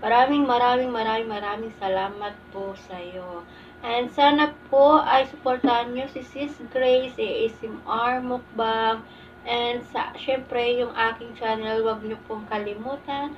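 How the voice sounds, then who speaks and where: At a very slow pace, a woman speaks in a high pitch with big swings in loudness, against light background noise. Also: ordinary pitch variation. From Philippines. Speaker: mukbang vlogger. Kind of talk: casual vlog talk to camera. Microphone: phone camera; phone near.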